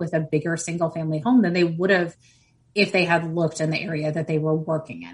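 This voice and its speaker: A woman speaks in a fairly low pitch with a somewhat breathy sound. Her intonation stays fairly even. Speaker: real estate economist. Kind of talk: interview.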